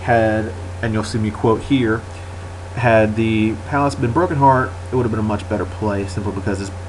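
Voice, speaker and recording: A man speaks at a fairly low pitch and a moderate pace with ordinary pitch variation. Noticeable background noise and audible room echo are present. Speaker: gaming commentator. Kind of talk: gameplay commentary. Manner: stuttering a little; casual.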